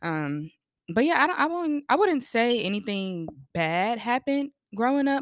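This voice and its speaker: A woman talks at a moderate pace in a fairly high voice. Her pitch swings very widely, and the sound is dry and close with no echo. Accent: American. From North Carolina. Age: 20s. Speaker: creative. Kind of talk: casual chat.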